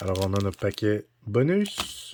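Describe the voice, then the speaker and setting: A man speaks with a strong Quebec accent. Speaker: card-collecting YouTuber. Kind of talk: unboxing commentary. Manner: casual, hesitant with frequent 'euh'.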